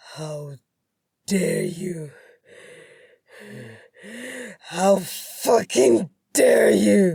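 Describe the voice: A woman's put-on character voice, dark and mellow with a husky, rough edge and vocal fry, very slow with long, frequent pauses and lively intonation. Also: medium pitch for a woman.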